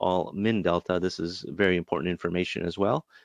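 Against a quiet background with a dry, close sound with no echo, a man with an American accent and a normal speaking voice talks fairly low and fairly quickly. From US Midwest, Chicago. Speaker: trading educator. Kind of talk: webinar presentation. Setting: online webinar. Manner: casual, many filler words.

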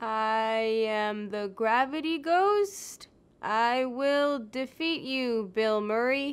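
A woman's put-on character voice, high-pitched and very slow. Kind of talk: game character voiceover take. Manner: loud, over-the-top.

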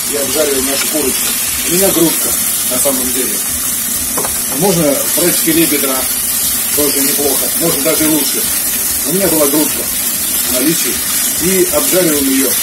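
Fairly quick male speech amid loud background noise. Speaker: home cook vlogger. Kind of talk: tutorial. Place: kitchen. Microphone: phone near.

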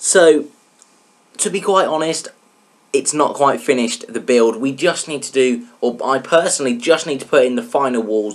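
Here a man speaks at a moderate pace with fairly high pitch. His intonation is lively. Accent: English. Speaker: gaming YouTuber. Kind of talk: let's play tutorial commentary. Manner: casual, chatty.

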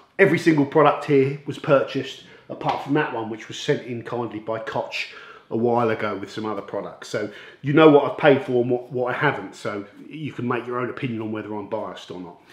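Audible room echo surrounds a man talking at a very fast pace, his loudness swinging widely while his pitch varies in an ordinary way. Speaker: car detailing channel host. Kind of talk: product review intro. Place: workshop.

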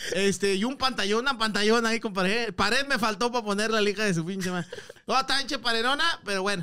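Animated and raised in a projected voice, a man with a high pitch speaks at a very fast pace with ordinary pitch variation. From Monterrey, northern Mexico; Mexico. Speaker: comedian. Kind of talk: casual chat. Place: studio. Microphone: studio mic.

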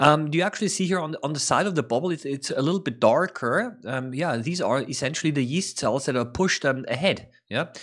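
Against a quiet background, a man talks at a fairly quick pace. He leaves hardly any pauses. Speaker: science educator. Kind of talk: tutorial commentary. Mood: calm, interested. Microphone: studio mic.

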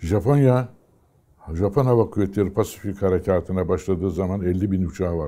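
The voice moves at a fairly quick pace with a dark, mellow tone and ordinary pitch variation. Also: man, very deep, low pitch for a man. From Turkey, Istanbul and Aegean region; Turkey. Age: 80s+. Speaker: retired fighter pilot. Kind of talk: oral history interview. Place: home room. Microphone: lapel.

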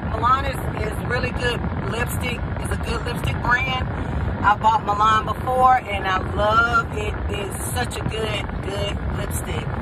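A woman speaks at a moderate pace through loud background noise. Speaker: vlogger. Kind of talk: casual vlog chat. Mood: cheerful, enthusiastic. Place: car.

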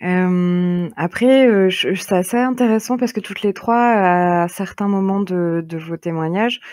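This woman has an unremarkable speaking voice and talks at a fairly slow pace. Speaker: podcast host. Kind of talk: moderated group discussion.

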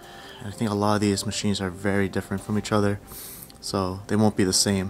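Faint music plays in the background as a man speaks fairly quickly in a fairly low, monotone, flat voice. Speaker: urban explorer vlogger. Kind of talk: casual vlog chat. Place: factory. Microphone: phone near.

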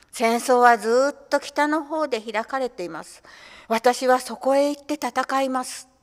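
A woman speaks at a high pitch and a fairly slow pace. The background is quiet. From Tokyo (Toshima); Tokyo. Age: 80s+. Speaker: poet; reader on community radio. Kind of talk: reading aloud. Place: studio. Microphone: studio mic.

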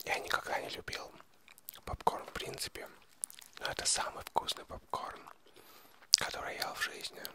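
Whispering at a moderate pace, a man makes big swings in loudness. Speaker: video creator. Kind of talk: casual close-mic chat, ASMR style. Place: home room. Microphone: handheld.

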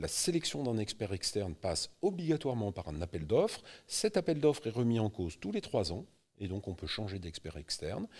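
The voice is somewhat breathy and moves at a moderate pace. Its pitch swings very widely. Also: man, fairly low pitch for a man. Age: 50s. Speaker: real estate investment specialist; guest. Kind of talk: interview. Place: studio. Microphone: studio mic.

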